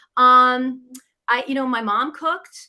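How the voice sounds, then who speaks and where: A woman's bright, sharp voice in a New England accent. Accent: American (New England). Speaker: business coach, former chef. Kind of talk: interview.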